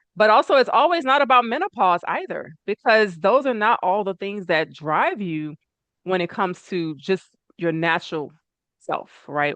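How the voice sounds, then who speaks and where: A woman speaks at a moderate pace with lively intonation. It is an ordinary speaking voice. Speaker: natural medicine practitioner. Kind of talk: online talk to an audience.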